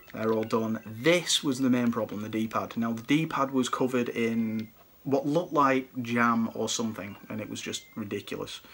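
A man with a British accent talks at a moderate pace and medium pitch, with ordinary pitch variation. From UK. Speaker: retro gaming YouTuber and collector. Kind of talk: product showcase video. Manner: casual, chatty. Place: home room. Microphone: phone near.

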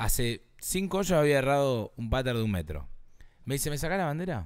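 A man with a Rioplatense accent, very wide pitch swings, a moderate pace, long and frequent pauses, and a quiet background. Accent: Argentine Rioplatense Spanish. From Argentina. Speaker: golf podcast host. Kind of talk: casual chat. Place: studio. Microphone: handheld.

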